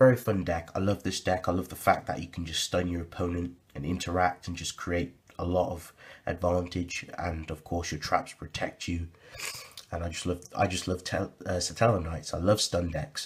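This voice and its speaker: The man's voice sounds somewhat breathy. He talks at a moderate pace. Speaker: card game deck reviewer. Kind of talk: deck profile tutorial. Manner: casual, halting with fillers.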